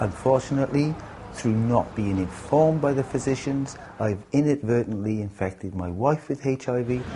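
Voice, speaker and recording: Over noticeable background noise, a man with a Welsh accent talks at a medium pitch with ordinary pitch variation. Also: moderate pace. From Wales, Cardiff. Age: 50s. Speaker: haemophilia patient. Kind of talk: interview testimony.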